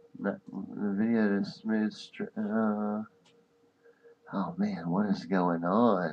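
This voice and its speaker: A soft-spoken man at a very slow pace, with long, frequent pauses and noticeable background noise. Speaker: podcast host. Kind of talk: casual chat. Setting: live stream.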